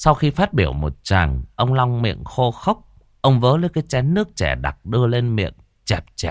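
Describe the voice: A text is read aloud. The delivery is plain.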